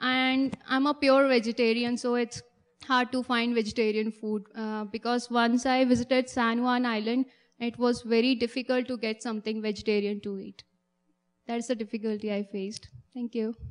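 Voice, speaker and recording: The speech moves at a moderate pace with flat, monotone intonation. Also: woman, fairly high pitch for a woman, quiet background. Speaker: international student. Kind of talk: student testimony at event.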